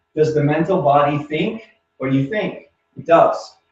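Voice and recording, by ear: Audible room echo surrounds a man whose fairly high pitch and slightly mellow tone move at a fairly slow pace.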